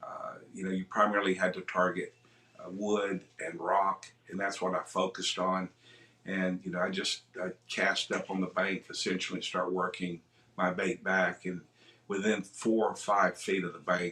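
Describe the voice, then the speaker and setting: Amid noticeable background noise, a man with a very deep, low pitch talks at a moderate pace in a monotone, flat delivery. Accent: American. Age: 60s. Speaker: kayak angler. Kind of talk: interview.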